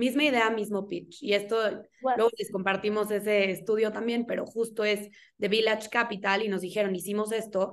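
Flat and monotone, a woman's fairly high voice moves at a fairly quick pace. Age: 20s. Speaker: podcast host. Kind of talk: casual interview chat.

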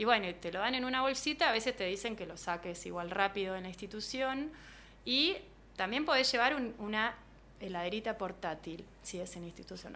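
This woman's voice has a bright, sharp tone at a medium pitch, and she speaks at a fairly quick pace. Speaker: biologist, placenta medicine practitioner. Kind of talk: interview.

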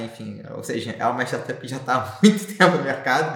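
A man talks with audible room echo. There is noticeable background noise. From Brazil, Rio de Janeiro. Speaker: startup founder and CEO. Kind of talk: podcast interview.

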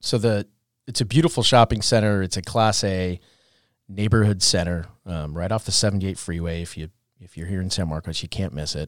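A man with an American accent and a very deep, low voice talks at a fairly quick pace with ordinary pitch variation and big swings in loudness. The recording is very clean, with a silent background and a dry, close sound with no echo. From Orange County, California. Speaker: commercial real estate manager. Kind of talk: casual interview chat. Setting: city hall.

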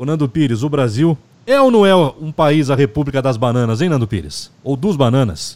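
This man has a plain, everyday voice, fairly high in pitch. He talks at a moderate pace. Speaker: podcast host. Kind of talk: casual political discussion.

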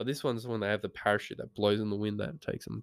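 A man talks with an Australian accent. The recording is very clean, with a silent background and a dry, close sound with no echo. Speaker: podcast host. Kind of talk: casual monologue. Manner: rambling with many ums.

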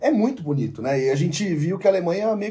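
Music plays behind a man whose high-pitched voice moves fairly quickly with lively intonation. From Ribeirão Preto, São Paulo state, Brazil. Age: 30s. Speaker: sports journalist. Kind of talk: casual chat.

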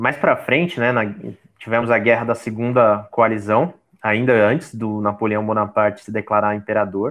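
At a moderate pace, a man speaks in an unremarkable speaking voice with medium pitch and fairly even intonation. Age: 30s. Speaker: podcast co-host. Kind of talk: casual educational chat.

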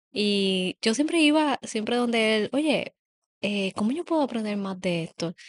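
A woman's voice, dry and close with no echo, against a quiet background. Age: 30s. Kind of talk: casual chat.

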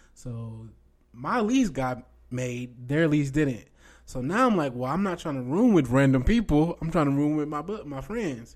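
On a very clean recording with a silent background, a man speaks in a plain, everyday voice at a fairly high pitch. His pace is moderate and his intonation lively. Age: 20s. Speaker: faith podcast co-host. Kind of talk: casual chat.

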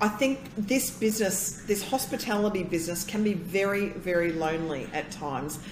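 A woman with an Australian accent speaks at a medium pitch with lively intonation. She barely pauses, and background noise is noticeable. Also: moderate pace. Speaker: consultant and emcee. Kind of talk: casual interview chat.

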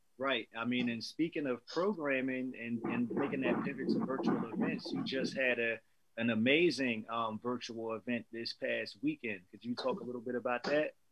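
A man with an American accent speaks at a moderate pace, with hardly any pauses, in a medium pitch with ordinary pitch variation. Background noise is noticeable. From New Jersey. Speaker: podcast host. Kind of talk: casual interview.

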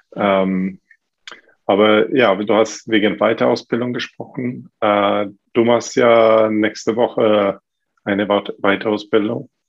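A man with a Swedish accent speaks very slowly, at a fairly low pitch and with fairly even intonation. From Sweden. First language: Swedish (speaking German). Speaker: fitness coach and gym owner. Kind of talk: casual chat. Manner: halting, many fillers.

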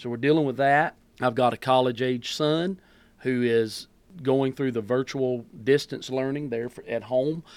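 The speaker talks at a fairly slow pace with a Southern US accent and fairly even intonation, on a very clean recording with a silent background. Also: man, medium pitch for a man. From US South, North Carolina. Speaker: pastor. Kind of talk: casual chat. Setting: studio.

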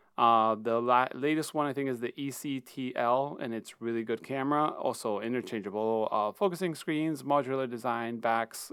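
A man talks in an ordinary speaking voice, medium in pitch with ordinary pitch variation, at a moderate pace. The recording is very clean, with a silent background. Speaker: film photography podcaster. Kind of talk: solo podcast, casual monologue. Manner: casual, chatty, with fillers.

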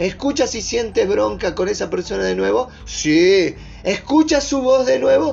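A man talks at a fairly slow pace in an animated tone. Music plays in the background. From northern Argentina (Orán, Salta, Bolivian border). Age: 40s. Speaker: life coach. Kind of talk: motivational talk.

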